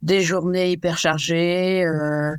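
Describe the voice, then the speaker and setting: A woman's very slow, monotone, flat delivery on a very clean recording with a silent background. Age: 70s. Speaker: retired executive and amateur athlete. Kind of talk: podcast interview.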